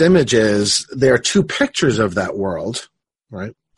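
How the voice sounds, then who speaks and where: This man's voice is somewhat breathy, its pitch swinging very widely at a moderate pace. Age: 50s. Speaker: philosophy professor and podcast host. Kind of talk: casual academic conversation.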